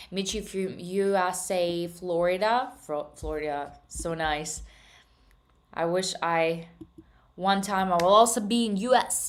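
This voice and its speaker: Amid audible room echo, a woman with a slight Russian accent talks very slowly at a medium pitch with ordinary pitch variation. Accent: slight Russian accent in English, worked on. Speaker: trading streamer. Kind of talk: live stream chat. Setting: live stream. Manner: casual, with frequent hesitations.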